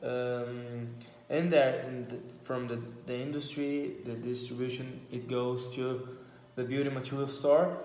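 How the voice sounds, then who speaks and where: A man with a Brazilian Portuguese accent, medium in pitch and monotone, flat in intonation, at a fairly slow pace, with noticeable background noise and audible room echo. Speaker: vlogger. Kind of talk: casual monologue. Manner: halting.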